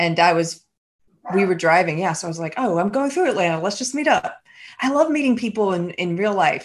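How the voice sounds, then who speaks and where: A woman at medium pitch, fairly quick in pace, with very wide pitch swings. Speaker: podcaster and writer. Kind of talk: casual interview conversation.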